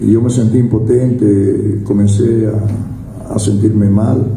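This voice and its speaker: Over noticeable background noise and audible room echo, a man speaks at a fairly low pitch in a monotone, flat intonation. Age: 60s. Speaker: recovered drug addict giving testimony, former radio worker. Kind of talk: personal testimony. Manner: halting, with frequent fillers and repetitions.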